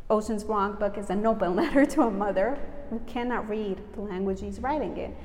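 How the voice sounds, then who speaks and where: At a fairly quick pace, a woman talks in a fairly high pitch with ordinary pitch variation over noticeable background noise. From Southern Italy (early childhood in New York). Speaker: writer. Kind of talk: interview. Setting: festival event.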